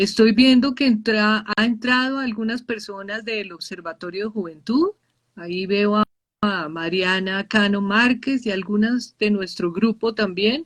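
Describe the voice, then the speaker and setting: In a quiet background, a woman speaks at a fairly slow pace, her fairly high, somewhat breathy voice showing ordinary pitch variation. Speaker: professor, nurse, youth researcher. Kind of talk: live online conversation. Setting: video livestream.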